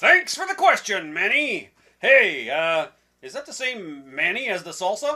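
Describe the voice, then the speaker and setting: This is a cartoonish character voice with a fairly high pitch. It makes very wide pitch swings at a moderate pace. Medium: puppet show. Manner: hesitant, stammering.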